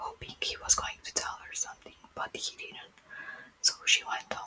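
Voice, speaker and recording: Against noticeable background noise, a woman whispers at a fairly slow pace. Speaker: ASMR creator. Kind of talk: bedtime book reading. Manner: whispered, soft-spoken.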